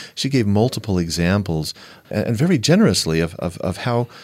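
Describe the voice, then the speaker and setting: His pitch is fairly low, yet it moves in very wide swings. The man speaks at a moderate pace. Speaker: panel respondent. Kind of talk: panel discussion response.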